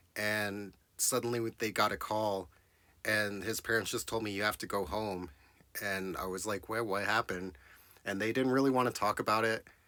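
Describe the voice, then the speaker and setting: A man with an American accent speaks fairly quickly and with fairly even intonation on a very clean recording with a silent background. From Texas, small town. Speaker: digital artist. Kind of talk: casual personal storytelling. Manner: casual, filler-heavy.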